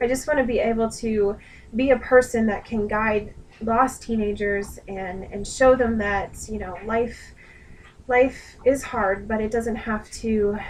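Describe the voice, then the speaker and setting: Her intonation fairly even, a woman with a fairly high pitch speaks at a fairly slow pace. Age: 20s. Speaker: student and dog groomer. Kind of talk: self-introduction video. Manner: earnest, with frequent hesitations.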